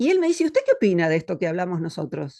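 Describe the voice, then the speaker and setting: A woman is speaking. The background is quiet. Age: 60s. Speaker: philosopher. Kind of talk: interview conversation.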